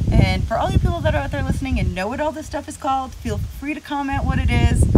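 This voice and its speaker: A woman talking at a very fast pace over loud background noise. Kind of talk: casual vlog tutorial. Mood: humorous, self-deprecating. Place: street. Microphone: phone near.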